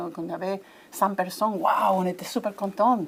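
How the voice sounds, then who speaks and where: A woman's voice at a medium pitch. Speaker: coaching association organizer. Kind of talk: interview. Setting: congress venue. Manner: halting, many hesitations.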